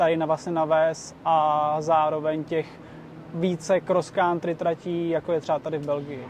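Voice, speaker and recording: A man at a fairly high pitch keeps a monotone, flat intonation at a moderate pace. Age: 20s. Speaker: e-bike racer. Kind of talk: interview. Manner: halting.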